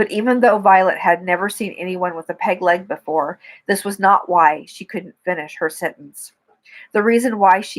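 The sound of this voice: Quiet background behind an unforced reading voice of ordinary pitch variation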